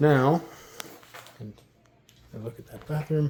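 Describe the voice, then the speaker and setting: Soft-spoken delivery at a moderate pace, with noticeable background noise. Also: man. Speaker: realtor. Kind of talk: property walkthrough tour.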